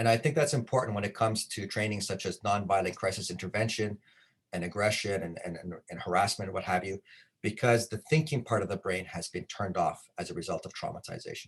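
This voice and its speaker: Very fast, somewhat breathy speech with big swings in loudness, over a quiet background. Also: man. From Canada. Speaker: trauma-informed care trainer. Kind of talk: conference presentation.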